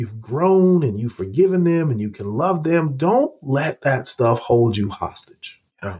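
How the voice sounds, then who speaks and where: Speaking very slowly with an American accent, a man uses a fairly high pitch, somewhat breathy, with very wide pitch swings. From Oklahoma. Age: 40s. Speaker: pastor and former college football player. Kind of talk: interview conversation.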